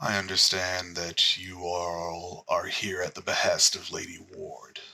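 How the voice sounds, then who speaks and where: Here a man puts on a character voice. It is very deep and low in pitch, at a fairly slow pace. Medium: actual play. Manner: formal, polite.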